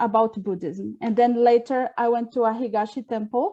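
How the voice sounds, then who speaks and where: A woman with a Portuguese accent speaks in a dark, mellow tone with fairly even intonation. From Brazil. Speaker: Buddhist minister trainee. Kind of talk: online dialogue introduction.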